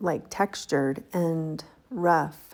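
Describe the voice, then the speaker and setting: This is a woman speaking at a fairly low pitch. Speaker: textile artist and YouTuber. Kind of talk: casual talk to camera, craft vlog. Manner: friendly, conversational.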